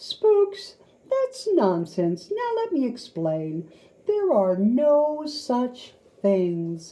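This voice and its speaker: A female-sounding voice in a put-on character delivers lines at a very slow pace, pitched high with very wide pitch swings. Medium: read story. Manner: matter-of-fact.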